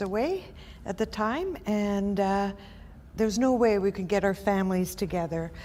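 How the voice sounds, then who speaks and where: A woman talks with a Quebec accent. Her pitch sits at a medium level. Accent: Québécois French-accented English. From Quebec City, Canada. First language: French. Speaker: entrepreneur. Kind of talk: interview. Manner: halting.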